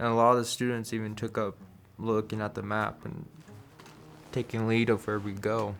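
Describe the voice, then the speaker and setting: At a moderate pace, a man speaks in a flat monotone at medium pitch, leaving long, frequent pauses. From Wyoming, Star Valley. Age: young. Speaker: wilderness therapy program participant. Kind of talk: interview testimony.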